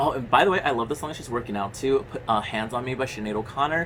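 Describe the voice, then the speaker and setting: Amid noticeable background noise, a man speaks in an animated tone. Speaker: horror movie youtuber. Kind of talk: casual movie review monologue. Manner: fast.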